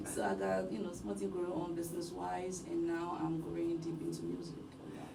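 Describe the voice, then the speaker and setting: At a moderate pace and a very even loudness, a woman speaks amid audible room echo and noticeable background noise. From Liberia, Loma people. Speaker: singer and youth worker. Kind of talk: radio interview. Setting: radio studio.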